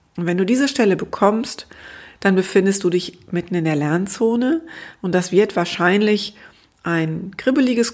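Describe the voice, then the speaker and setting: A woman speaks at a fairly slow pace in a calm tone. Her pitch varies in an ordinary way. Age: 50s. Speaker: grief counselor and podcast host. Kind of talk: solo podcast monologue. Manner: light, easygoing.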